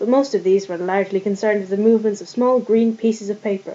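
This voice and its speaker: A woman at a medium pitch, fairly quick pace and ordinary pitch variation, with noticeable background noise. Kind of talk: book reading.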